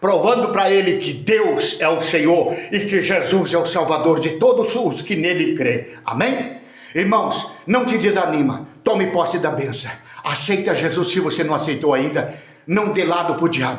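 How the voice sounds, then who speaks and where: A man with a high-pitched voice talks at a fairly slow pace with lively intonation. Audible room echo and noticeable background noise surround him. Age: 60s. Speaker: preacher. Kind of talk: sermon. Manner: animated.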